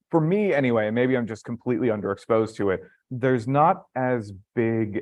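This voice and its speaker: Using an American accent, a man talks at a moderate pace with ordinary pitch variation. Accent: American-sounding. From Canada. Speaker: YouTuber and independent filmmaker. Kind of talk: live panel discussion.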